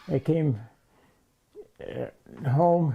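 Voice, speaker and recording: The voice belongs to a man. It is dark and mellow in tone and somewhat breathy. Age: 80s+. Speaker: war veteran. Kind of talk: interview. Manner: halting.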